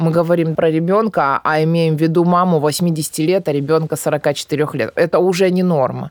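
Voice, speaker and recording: A woman has an unremarkable speaking voice, fairly low in pitch with fairly even intonation, at a moderate pace. Her loudness stays very even with hardly any pauses, and the sound is dry and close with no echo. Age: 30s. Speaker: psychologist. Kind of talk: interview.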